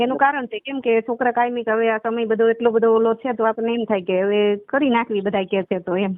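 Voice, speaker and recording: A woman speaks with fairly high pitch and fairly even intonation. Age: 40s. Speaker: caller seeking remarriage. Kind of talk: phone conversation. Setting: phone call.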